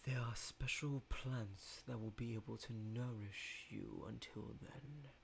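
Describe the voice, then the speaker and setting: A man's put-on character voice at a medium pitch, with hardly any pauses and clear background noise. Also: fairly slow pace. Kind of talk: ominous final-boss voice. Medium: read story. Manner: slow, calm, commanding.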